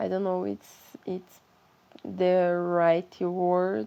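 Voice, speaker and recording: The speaker talks at a very slow pace with a Brazilian accent. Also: woman. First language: Portuguese. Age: 20s. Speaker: vlogger sharing mental health experience. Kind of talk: personal testimony. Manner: halting, searching for words.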